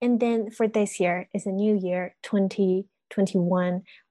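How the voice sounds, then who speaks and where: A woman with a Chinese accent speaks at medium pitch and a fairly slow pace, her tone dark and mellow, her intonation flat and monotone, the sound dry and close with no echo against a quiet background. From China. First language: Mandarin Chinese. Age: 20s. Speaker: university student. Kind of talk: interview.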